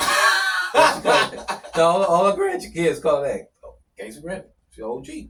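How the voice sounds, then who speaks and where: A man speaks at a moderate pace, his loudness swinging widely. Music plays behind him. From Texas. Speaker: former prisoner. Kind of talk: casual interview. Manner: repetitive, stammering.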